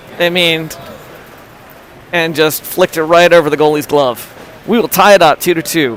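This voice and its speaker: Against noticeable background noise, the speaker goes at a moderate pace, leaving long, frequent pauses. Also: man. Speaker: amateur livestream commentator for youth hockey. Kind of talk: live commentary. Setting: in the stands at an ice rink. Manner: animated.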